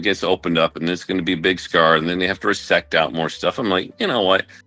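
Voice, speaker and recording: Talking at a very fast pace over music in the background, a man speaks with a very deep, low pitch. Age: 60s. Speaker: physician and radio show co-host. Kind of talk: casual chat. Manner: halting.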